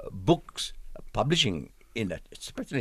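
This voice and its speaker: A man talks at a fairly quick pace with vocal fry. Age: 80s+. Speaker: scholar and author. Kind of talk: interview.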